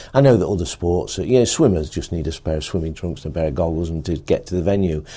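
Very deep and low, a man's voice carries a dark, mellow tone and an English accent. The recording is very clean, with a silent background. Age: 60s. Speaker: cycling coach. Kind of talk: interview monologue.

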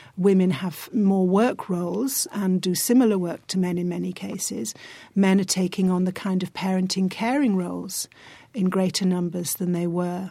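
A woman with an English accent and a dark, mellow tone, medium pitch, ordinary pitch variation and a moderate pace, on a very clean recording with a silent background. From England. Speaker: psychology professor. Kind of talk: academic discussion.

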